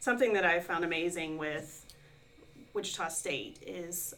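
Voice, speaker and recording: A plain, everyday voice talks at a moderate pace with ordinary pitch variation. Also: woman. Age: 40s. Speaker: online adult student and administrative assistant. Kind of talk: interview.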